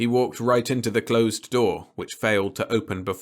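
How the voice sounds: The speaker uses a natural reading voice with fairly even intonation.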